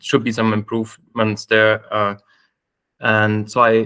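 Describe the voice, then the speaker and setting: A man with a German accent speaks at a fairly slow pace in a medium pitch, his tone bright and sharp. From Germany. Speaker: software engineer, committee candidate. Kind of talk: self-introduction in a video call meeting. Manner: hesitant, many fillers.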